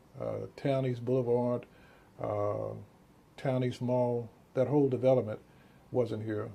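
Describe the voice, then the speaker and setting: In a Texan accent, a man speaks at a fairly slow pace with long, frequent pauses, his dark, mellow tone carrying a monotone, flat intonation. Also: medium pitch for a man. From Texas, Dallas. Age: 60s. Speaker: physician. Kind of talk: interview.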